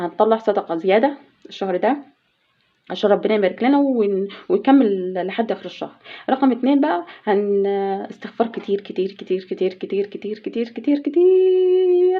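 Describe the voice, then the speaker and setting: A woman speaks with an Egyptian accent at a fairly high pitch. Her pitch swings very widely. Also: moderate pace. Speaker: household vlogger. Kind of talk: casual vlog talk. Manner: halting.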